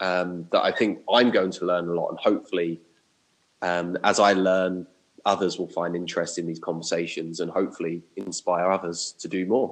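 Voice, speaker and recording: In a southern English accent, a man with a very deep, low voice speaks at a moderate pace in a monotone, flat delivery. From southern England (Watford). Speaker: primary school teacher, podcast co-host. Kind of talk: casual chat.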